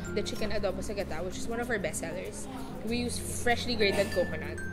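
At a moderate pace, a woman speaks with music in the background. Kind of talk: interview answer.

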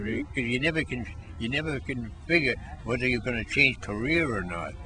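A man speaks with a dry sound and no echo while music plays in the background. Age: 80s+. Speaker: senior tennis player and bowler. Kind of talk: interview answer. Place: street. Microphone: phone near.

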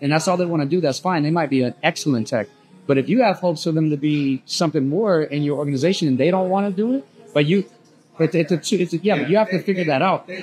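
Faint music plays in the background. Over it, a man speaks very fast with ordinary pitch variation. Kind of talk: podcast conversation. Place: bar.

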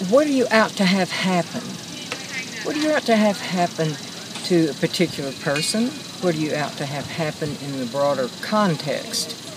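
A woman with an American accent, dry sound with no echo, and noticeable background noise. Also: moderate pace. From West Texas. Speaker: interviewee. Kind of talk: interview. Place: garden. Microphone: phone near.

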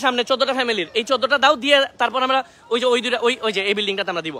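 An extremely high-pitched man speaks in a raised, projected voice with an animated tone and ordinary pitch variation, over noticeable background noise. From Bangladesh, Netrokona. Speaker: youtuber doing flood relief. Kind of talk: live vlog from relief site. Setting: outdoors, flooded area, by boat. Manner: loud.

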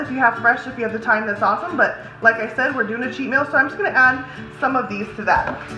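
A woman's high-pitched voice with audible room echo and clear music in the background. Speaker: home cooking vlogger. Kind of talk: tutorial. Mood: cheerful, relaxed. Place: kitchen. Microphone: phone near.

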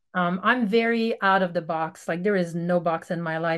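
A woman with a French Canadian accent speaks at a medium pitch and a moderate pace. Her intonation is fairly even, and the background is quiet. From Quebec, Canada. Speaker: veterinarian; podcast guest. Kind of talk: casual interview. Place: home room. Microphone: video call.

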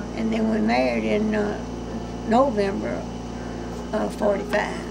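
Loud noise fills the background. A woman speaks over it at a fairly slow pace. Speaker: grandmother. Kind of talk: casual reminiscing in family conversation. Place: home room.

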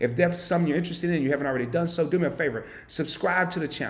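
A man is talking at a very fast pace. His pitch variation is ordinary. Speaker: channel host. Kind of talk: live stream chat. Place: home room.

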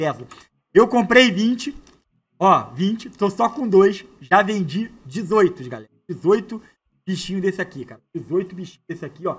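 This man talks in a high pitch with lively intonation. His loudness swings widely. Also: moderate pace. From Brazil. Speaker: online money-making youtuber; online seller, youtuber. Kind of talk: product demo tutorial. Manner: casual and animated. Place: home room. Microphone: lapel.

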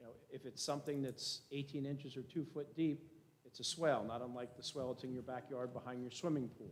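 Speaking at a very fast pace, this man has a medium pitch. His intonation stays fairly even. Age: 60s. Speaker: board attorney. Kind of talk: public meeting. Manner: formal.

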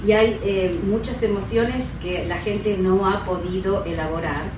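Over noticeable background noise and audible room echo, a woman talks at a fairly slow pace with fairly even intonation. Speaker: radio show guest or co-host. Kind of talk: interview answer. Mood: calm, reflective. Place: studio.

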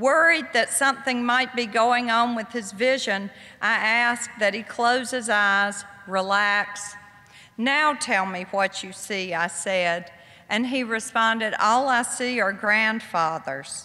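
Very slow speech from a woman, fairly high-pitched, her pitch moving in an ordinary way. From US South. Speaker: author; guest. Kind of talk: lecture. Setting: stage with audience. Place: hall. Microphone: podium.

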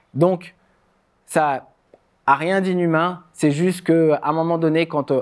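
Against a quiet background, a man talks at a fairly slow pace. His voice is fairly high, with fairly even intonation. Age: 30s. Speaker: former judoka and speaker; speaker. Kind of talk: public talk. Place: stage.

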